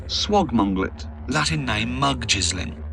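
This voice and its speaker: A man speaks over noticeable background noise. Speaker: comedian, author. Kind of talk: audiobook reading.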